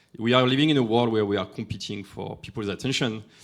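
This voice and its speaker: At a fairly quick pace and with fairly even intonation, the speaker talks in a French accent on a very clean recording with a silent background. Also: man. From France. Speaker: AI industry expert. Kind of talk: conference talk. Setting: stage with audience. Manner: halting.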